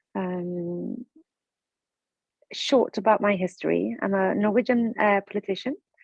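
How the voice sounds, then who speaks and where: Here a woman talks at a fairly slow pace. Her pitch is medium, with ordinary pitch variation. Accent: Swedish. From Sweden. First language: Swedish. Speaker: politician and webinar speaker. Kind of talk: webinar presentation. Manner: calm.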